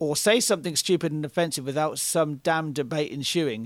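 A man with a British accent talks at a fairly high pitch with ordinary pitch variation. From Britain. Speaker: podcast co-host and photographer. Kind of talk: casual conversation, reading and responding to a Reddit post. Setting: video call.

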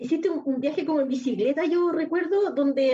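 A woman speaks at a moderate pace in a dark, mellow tone. Her pitch varies in an ordinary way. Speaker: writer and guest panelist. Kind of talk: casual chat. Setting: remote from home.

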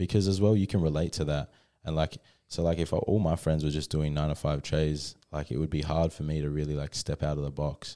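Delivered at a fairly quick pace with fairly even intonation, the dark, mellow voice comes through in a very clean recording with a silent background. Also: man, very deep, low pitch for a man. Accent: Australian. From Australia, inland New South Wales near Byron Bay, then Western Australia from age 12. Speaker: hip hop artist and postman. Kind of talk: casual interview chat. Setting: studio.

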